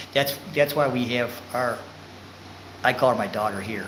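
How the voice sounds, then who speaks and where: A man with ordinary pitch variation, amid noticeable background noise and audible room echo. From Michigan, US. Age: 60s. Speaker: vlogger. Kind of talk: live stream chat. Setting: live stream. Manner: halting.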